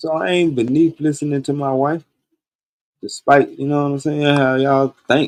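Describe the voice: A man talks at a moderate pace with little pitch movement. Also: fairly high pitch for a man, slightly mellow tone.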